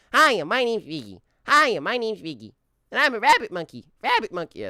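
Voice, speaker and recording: A put-on character voice with a fairly high pitch moves at a fairly quick pace. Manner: cartoonish.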